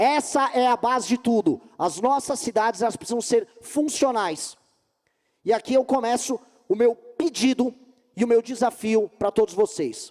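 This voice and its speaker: Speaking at a fairly slow pace, a man with an extremely high pitch uses an animated tone and ordinary pitch variation, recorded with a dry, close sound with no echo. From Brazil, São Paulo city. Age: 40s. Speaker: politician, presidential candidate. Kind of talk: political speech. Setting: stage with audience. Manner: emphatic, animated.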